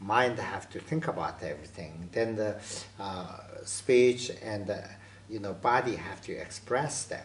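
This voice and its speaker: With audible room echo, a man of fairly low pitch talks at a fairly slow pace, leaving long, frequent pauses, his loudness swinging widely while his pitch varies in an ordinary way. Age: 60s. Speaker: Buddhist lama and author. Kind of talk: interview. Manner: halting.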